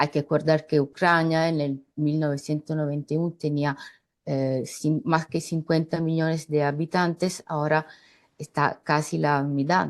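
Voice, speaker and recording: Against a quiet background, a woman with a non-native accent speaks at a fairly slow pace. Her very deep, low voice has monotone, flat intonation. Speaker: political analyst. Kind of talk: panel discussion. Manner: halting.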